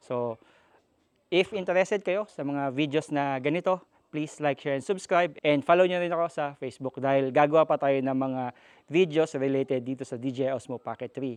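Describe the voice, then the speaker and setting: A man's fairly high voice with ordinary pitch variation, at a fairly quick pace, dry and close with no echo against a quiet background. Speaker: tech and moto vlogger. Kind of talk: product demo vlog. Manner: casual.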